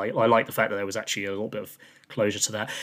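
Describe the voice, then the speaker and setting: A man with a British accent is heard in a very clean recording over a silent background. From UK. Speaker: film podcast host. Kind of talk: casual chat.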